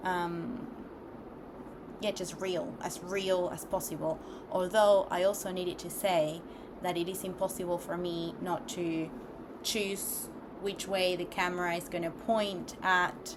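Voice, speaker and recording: Speaking at a very slow pace with long, frequent pauses, a woman with a non-native accent keeps her fairly low pitch fairly even, amid audible room echo and noticeable background noise. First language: not English. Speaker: vlogger. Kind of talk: casual monologue vlog. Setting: recording alone on camera. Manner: hesitant, many fillers.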